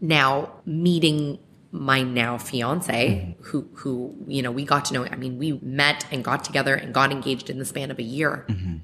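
Against noticeable background noise, a woman with a very deep, low pitch speaks at a moderate pace with ordinary pitch variation and hardly any pauses. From Ontario, Canada (Clarkson, Mississauga). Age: 30s. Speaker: podcast guest. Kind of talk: casual interview.

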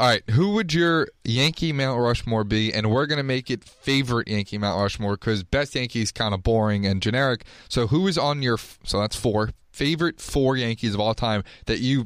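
A man talks in a plain, everyday voice at a moderate pace and medium pitch, with ordinary pitch variation and very even loudness. The recording is very clean, with a silent background. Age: 20s. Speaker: college student, podcast co-host. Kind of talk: casual chat.

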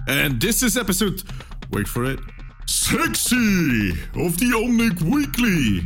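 With clear music playing behind him, a man uses a put-on character voice pitched high. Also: fairly slow pace. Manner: theatrical, exaggerated.

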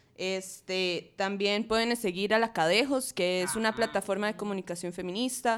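The speaker, with a Costa Rican accent, talks at a moderate pace with hardly any pauses. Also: woman, medium pitch for a woman, ordinary pitch variation. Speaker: feminist media activist. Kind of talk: casual panel discussion.

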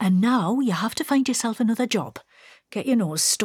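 Someone reads aloud in a natural voice with ordinary pitch variation against a quiet background.

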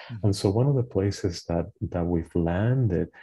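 A man with a very deep, low pitch and a dark, mellow tone speaks at a moderate pace against a quiet background. His voice is somewhat breathy, and his pitch varies in an ordinary way. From Puerto Rico. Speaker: clinical social worker and trauma therapist. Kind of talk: interview.

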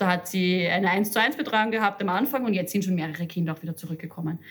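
Very fast and somewhat breathy, a woman's voice sits at a medium pitch with ordinary pitch variation. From Upper Austria. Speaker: head of a social counselling centre. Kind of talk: interview. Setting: office.

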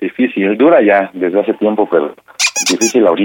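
A man with a Mexican accent speaks at a moderate pace in a fairly low pitch, with ordinary pitch variation. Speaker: caller. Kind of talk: prank call. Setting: phone call. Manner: halting, many fillers.

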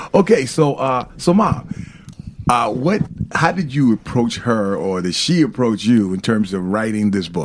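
Man at a fairly slow pace with very wide pitch swings. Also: medium pitch for a man. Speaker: radio host. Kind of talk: radio interview. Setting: studio.

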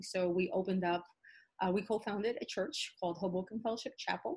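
Nothing intrudes from the background. A somewhat breathy quality marks the voice. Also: woman. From New York, South Bronx. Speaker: teacher and pastor's wife. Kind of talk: interview. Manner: hesitant with many fillers.

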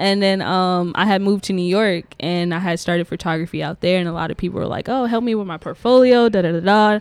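In an American accent, a woman at medium pitch speaks very fast with hardly any pauses and ordinary pitch variation, on a very clean recording with a silent background. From Prince George's County, Maryland (DC area). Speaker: photographer and studio manager. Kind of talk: casual interview. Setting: pop-up podcast at a creative office.

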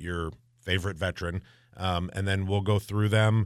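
On a very clean recording with a silent background, a man with a very deep, low voice speaks at a moderate pace with ordinary pitch variation. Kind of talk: casual radio chat about community fundraising.

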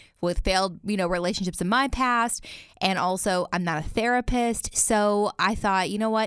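A woman's medium-pitched voice with a slight Southern US accent, moderate pace and fairly even intonation. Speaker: podcast host. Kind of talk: interview.

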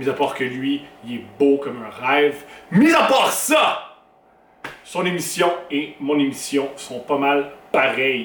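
A man's fairly high voice in a Quebec accent, very slow and fairly even in intonation, with noticeable background noise. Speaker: comedian and podcast host. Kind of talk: podcast intro monologue.

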